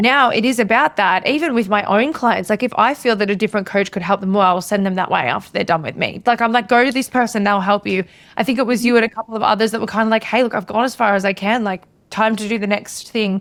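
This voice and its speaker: Talking very fast, a woman with an Australian accent uses a fairly high voice with ordinary pitch variation. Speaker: podcast host and business coach. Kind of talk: podcast interview.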